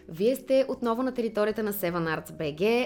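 A woman speaks in a normal speaking voice at a moderate pace. Her intonation is lively. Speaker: podcast host. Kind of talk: interview.

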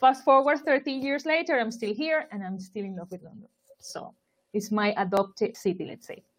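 A woman with a Spanish accent speaks at a moderate pace in a fairly high voice. Her intonation is lively, and her loudness swings widely. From Colombia, Barranquilla. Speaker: marketing expert. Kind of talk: interview.

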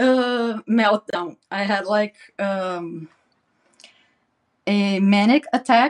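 A woman with a non-native accent speaks at a very slow pace and medium pitch, with long, frequent pauses. The sound is dry and close, with no echo. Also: ordinary pitch variation. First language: not English. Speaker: interview guest sharing mental health experience. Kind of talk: personal testimony in interview. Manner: halting, many fillers and repetitions.

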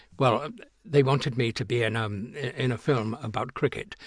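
A man's somewhat breathy voice moves at a fairly quick pace. The background is quiet and the sound dry and close, with no echo. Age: 70s. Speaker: actor. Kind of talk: interview. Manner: halting.

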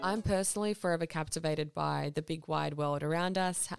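A woman with an Australian accent talks at a moderate pace, her pitch very deep and low. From Balkans (born in Croatia, childhood in Serbia), then Sydney from age eight. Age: 20s. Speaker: podcast host. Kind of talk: scripted monologue introduction.

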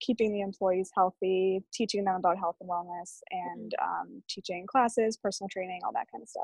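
A woman with an American accent, monotone, flat intonation and big swings in loudness. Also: dry, close sound with no echo. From Massachusetts, Framingham (Boston area). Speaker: fitness trainer and powerlifter. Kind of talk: casual interview.

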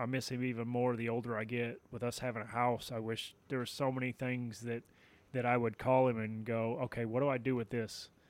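The speech comes at a fairly quick pace with monotone, flat intonation in a very clean recording with a silent background. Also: man, medium pitch for a man. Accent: Southern US. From Tennessee. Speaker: podcast host. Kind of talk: casual chat.

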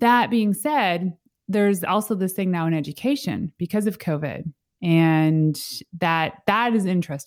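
With a Canadian accent and a plain, everyday voice, a woman speaks at a fairly slow pace and medium pitch, her intonation lively and her loudness very even, in a very clean recording with a silent background and a dry, close sound with no echo. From Canada, Northern Ontario. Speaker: entrepreneur and business coach. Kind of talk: interview.

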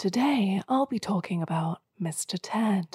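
A woman's put-on character voice, raspy and medium-pitched, with lively intonation at a fairly slow pace in a dry, close sound with no echo. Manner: grating, overly guided and informative.

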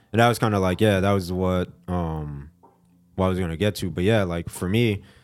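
Music plays in the background as a man with an American accent and a very deep, low pitch speaks at a moderate pace with fairly even intonation. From South Florida (Fort Lauderdale). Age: 30s. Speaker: graphic designer and photographer. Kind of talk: casual interview.

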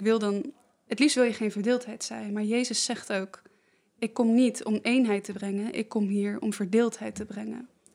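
A woman with a normal speaking voice talks at a moderate pace, fairly high in pitch, with fairly even intonation. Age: 20s. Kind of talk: casual conversation.

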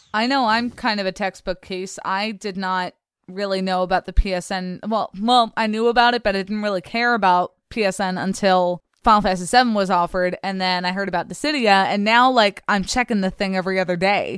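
With a Philadelphia accent and a medium pitch, a woman talks in an animated tone at a fairly quick pace with hardly any pauses, in dry, close sound with no echo on a very clean recording with a silent background. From US, Philadelphia. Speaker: podcast co-host. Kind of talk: casual chat.

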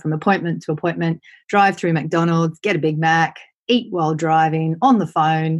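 A woman with an Australian accent speaks at a very deep, low pitch and a moderate pace. Her pitch varies in an ordinary way, and the background is quiet. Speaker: property investment and wealth coach. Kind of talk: interview.

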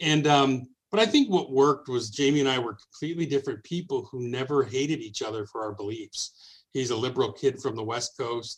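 Somewhat breathy speech with a Midwestern American accent moves at a fairly quick pace, with hardly any pauses and ordinary pitch variation. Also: man, medium pitch for a man. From Detroit, Michigan. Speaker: radio program director. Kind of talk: casual interview.

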